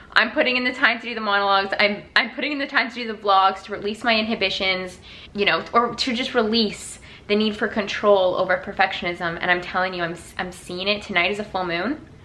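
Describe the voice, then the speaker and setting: There is noticeable background noise behind this woman. She speaks at a very fast pace in an animated tone. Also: medium pitch for a woman, ordinary pitch variation. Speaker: vlogger and acting student. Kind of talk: casual vlog talk to camera.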